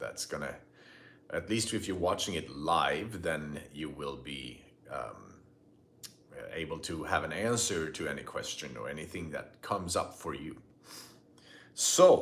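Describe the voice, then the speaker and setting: A man speaks at a fairly slow pace, with long, frequent pauses and big swings in loudness. Audible room echo surrounds his voice. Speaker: spiritual teacher. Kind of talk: live stream talk. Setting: live video stream. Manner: halting.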